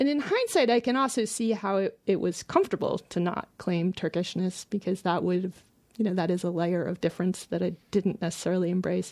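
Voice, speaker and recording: A woman with an American accent speaks at a medium pitch, with ordinary pitch variation and hardly any pauses. She has a normal speaking voice. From United States (born in Istanbul, raised in US from age four). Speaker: fiction writer. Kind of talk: interview.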